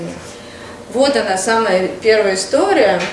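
Loud background noise and audible room echo surround a woman's voice. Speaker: mother vlogger. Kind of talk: casual vlog. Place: home room. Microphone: camera far.

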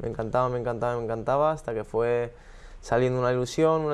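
In a normal speaking voice, a man talks at medium pitch with fairly even intonation. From Spain, Alicante (San Vicente); Spain. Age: 20s. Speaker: professional tennis player; guest. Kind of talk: casual interview. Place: studio.

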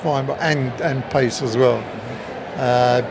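Noticeable background noise behind a male speaker. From England. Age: 70s. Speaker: retired cricketer. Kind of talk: interview answer. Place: stadium. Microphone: phone near.

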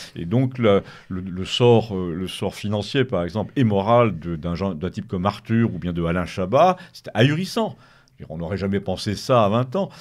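In a very clean recording with a silent background, a man with a plain, everyday voice talks at a fairly low pitch and a fairly slow pace with ordinary pitch variation. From Paris, France. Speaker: writer. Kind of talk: radio interview.

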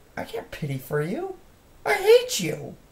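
Someone puts on a character voice and speaks at a moderate pace. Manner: harsh, hateful.

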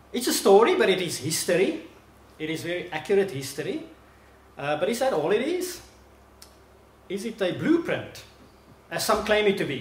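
A man speaks at a moderate pace. Light background noise and audible room echo come through. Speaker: visiting preacher. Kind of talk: sermon. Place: hall. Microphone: podium.

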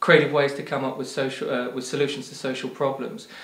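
There is audible room echo as a man talks at a very fast pace. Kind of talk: interview answer. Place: home room. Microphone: lapel.

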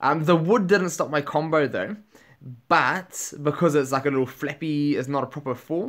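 A man with a New Zealand accent, fairly high in pitch, animated in tone, at a moderate pace with ordinary pitch variation, against a quiet background. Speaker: gaming YouTuber. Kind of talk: gameplay commentary. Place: home room.

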